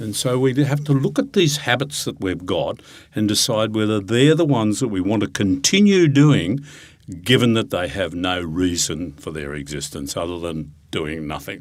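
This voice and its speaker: A man with an Australian accent speaks at a moderate pace in a fairly low voice, his pitch swinging very widely. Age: 70s. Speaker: retirement coach and financial planner. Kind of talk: interview.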